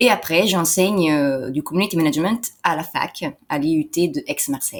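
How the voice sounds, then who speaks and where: A woman's fairly low voice at a moderate pace. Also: lively intonation. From Italy. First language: Italian (speaking French). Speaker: entrepreneur and translator. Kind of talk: interview. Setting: in person interview. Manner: hesitant, many fillers.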